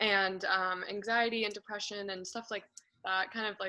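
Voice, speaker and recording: A woman's medium-pitched voice, bright and sharp, in a Californian accent with monotone, flat intonation. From Marin County, California. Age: 20s. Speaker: interviewee. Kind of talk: interview.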